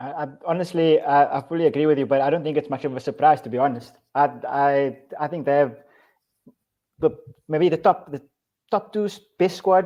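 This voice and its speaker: A man with a non-native accent speaks at a fairly quick pace and a fairly high pitch. His pitch varies an ordinary amount, broken by long, frequent pauses. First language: not English. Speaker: football podcast host. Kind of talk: casual chat.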